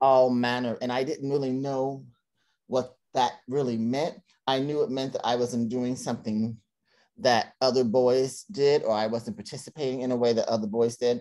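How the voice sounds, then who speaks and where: A man speaks with an American accent and a dark, mellow tone at medium pitch. His pace is moderate, his intonation fairly even, and the background is quiet. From Cincinnati, Ohio; Ohio. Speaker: theater director and playwright; interview guest. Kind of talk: interview. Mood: reflective storytelling. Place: home room. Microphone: video call.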